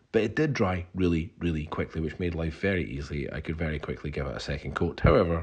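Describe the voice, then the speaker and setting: A man's very deep, low voice with vocal fry and a Scottish accent, against a quiet background. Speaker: DIY home renovator. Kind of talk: casual talk to camera.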